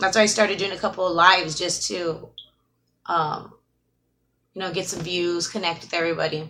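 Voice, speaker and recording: Her tone bright and sharp, a woman speaks at a fairly quick pace and a fairly low pitch, her intonation fairly even, with long, frequent pauses. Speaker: YouTuber doing live streams. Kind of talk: casual live-stream chat. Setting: live stream. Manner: mumbling.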